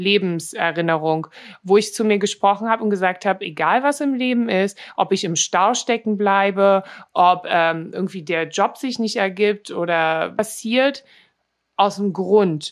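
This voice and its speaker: A woman talks in a normal speaking voice at a medium pitch. Her pace is fairly slow, and her pitch varies an ordinary amount. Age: 30s. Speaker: model and influencer. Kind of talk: interview. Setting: remote call.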